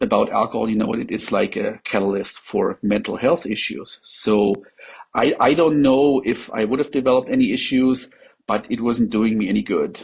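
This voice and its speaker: In a German accent, a man talks with ordinary pitch variation. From Germany. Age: 40s. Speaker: patient sharing experience. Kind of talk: interview testimony. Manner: halting, many fillers.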